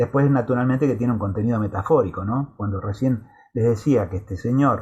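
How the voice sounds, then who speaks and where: Somewhat breathy and at a medium pitch, a man speaks at a moderate pace with ordinary pitch variation. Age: 60s. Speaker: university lecturer. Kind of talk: lecture. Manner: halting, with many fillers.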